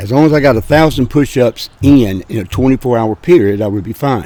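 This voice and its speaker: In a dark, mellow tone, a man talks at a moderate pace with lively intonation. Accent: Alabama. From Birmingham, Alabama. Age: 70s. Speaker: grocery business owner. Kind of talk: interview. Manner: halting, many fillers.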